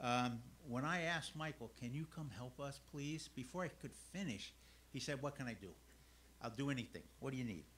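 A man talks at a moderate pace with vocal fry and ordinary pitch variation. Light background noise is present. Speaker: church elder. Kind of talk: introduction. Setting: church. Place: church.

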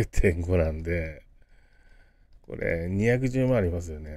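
Very slowly, a man speaks in a dark, mellow tone with a very deep, low pitch. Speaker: business consultant and crypto YouTuber. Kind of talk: casual vlog-style talk to camera. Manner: chatty, rambling with many fillers.

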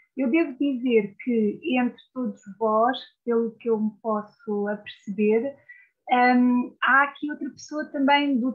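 Against a quiet background, a woman with a high pitch speaks at a fairly slow pace. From Portugal. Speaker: literature scholar; guest. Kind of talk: lecture with slides. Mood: warm, sometimes laughing. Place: home room. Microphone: video call.

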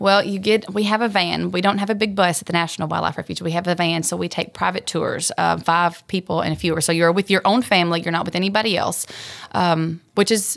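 Speaking at a fairly quick pace, a woman uses a fairly low pitch and fairly even intonation, with vocal fry. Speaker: refuge ranger. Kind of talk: interview answer. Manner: passionate.

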